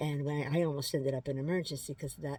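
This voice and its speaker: In a very clean recording with a silent background, a woman speaks with a very deep, low pitch and a dark, mellow, somewhat breathy tone. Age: 60s. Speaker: lifestyle vlogger. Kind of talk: casual vlog update. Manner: halting, with many fillers.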